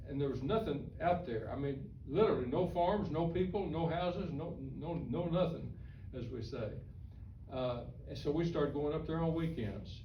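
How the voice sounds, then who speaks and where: A man's fairly high voice in an American accent, with ordinary pitch variation, a moderate pace and audible room echo. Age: 80s+. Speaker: author and retired newspaperman. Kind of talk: talk to a historical society audience. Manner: halting, repeats words.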